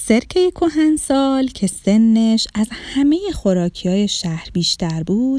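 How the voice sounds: The clip features a natural reading voice.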